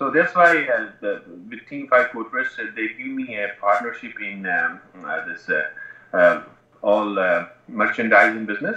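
In audible room echo, a man speaks at a fairly slow pace. His long pauses come often. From northern Pakistan. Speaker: professional MMA fighter and personal trainer; personal trainer. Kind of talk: interview. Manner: halting. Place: home room. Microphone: earbuds.

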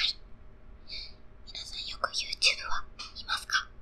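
A woman whispers. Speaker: idol singer. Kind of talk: ASMR whisper talk. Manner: whispered. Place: studio. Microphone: studio mic.

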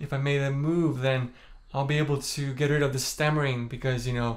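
A man with an Estonian accent and a fairly high pitch talks at a moderate pace in a monotone, flat intonation. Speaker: singer. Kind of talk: casual talk to camera. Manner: calm, low-energy; stammers at times. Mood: open, reflective, slightly self-deprecating. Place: home room. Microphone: phone near.

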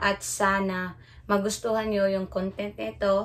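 Very slow speech over light background noise. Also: woman. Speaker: food vlogger. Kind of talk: casual vlog chat. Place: home room. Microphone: phone near.

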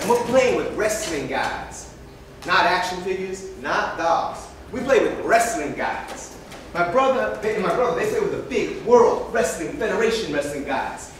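A moderately paced voice comes through with light background noise and strong room echo. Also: man. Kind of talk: storytelling monologue. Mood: comic, exasperated. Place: hall.

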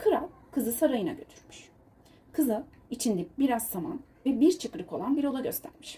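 A woman speaks at a moderate pace and a fairly high pitch, her intonation lively. Her tone is dark and mellow, with a husky, rough edge.

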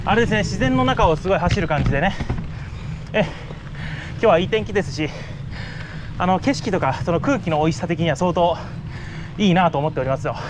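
The speech runs at a fairly quick pace amid noticeable background noise. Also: man. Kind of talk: casual commentary while riding. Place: bicycle. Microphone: phone near.

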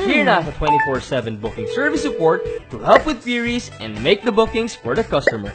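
Over background music, the speaker talks at a fairly quick pace, with big swings in loudness and very wide swings in pitch. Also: man, high pitch for a man. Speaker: voice actor. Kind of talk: TV commercial read.

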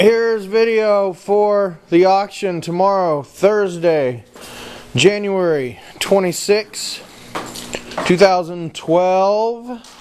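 Over noticeable background noise, a man with a high pitch and ordinary pitch variation speaks at a very slow pace. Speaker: auctioneer. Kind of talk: walkthrough preview narration of auction lots. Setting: walking through auction hall with camera. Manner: casual, rattling off lot descriptions.

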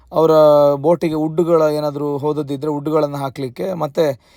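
A man with an unremarkable speaking voice and fairly high pitch, captured in a very clean recording with a silent background. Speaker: food and travel vlogger. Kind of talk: travel vlog narration.

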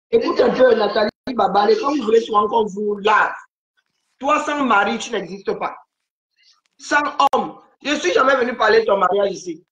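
A woman speaks with fairly high pitch and ordinary pitch variation at a moderate pace, leaving long, frequent pauses. Room echo is audible. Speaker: live-stream commentator. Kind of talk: casual live-stream chat. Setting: video call. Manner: calm.

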